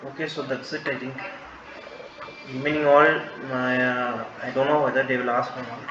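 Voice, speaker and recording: A man's fairly high voice in a monotone, flat delivery at a very fast pace, with audible room echo and noticeable background noise. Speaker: medical lecturer. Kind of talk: lecture. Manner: halting.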